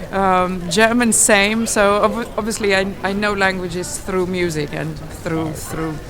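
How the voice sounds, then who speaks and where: A woman with a Lithuanian accent at a fairly slow pace, medium in pitch with fairly even intonation, plus audible room echo and noticeable background noise. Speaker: classical singer. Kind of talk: street interview. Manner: halting.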